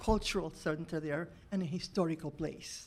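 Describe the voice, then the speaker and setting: Monotone, flat intonation carries speech at a moderate pace. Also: woman. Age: 80s+. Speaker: church volunteer. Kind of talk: public comment. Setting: council meeting.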